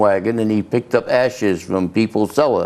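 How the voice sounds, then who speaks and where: Here a man speaks with a New England accent. His pace is moderate and his intonation fairly even. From Massachusetts (Leominster). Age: 80s+. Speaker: local businessman. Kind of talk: interview.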